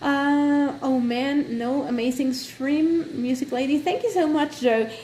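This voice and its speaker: A woman speaks fairly slowly in a high voice at very even loudness, with noticeable background noise. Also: ordinary pitch variation. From not Britain. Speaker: gaming live streamer. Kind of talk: casual live stream chat. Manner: hesitant, many fillers.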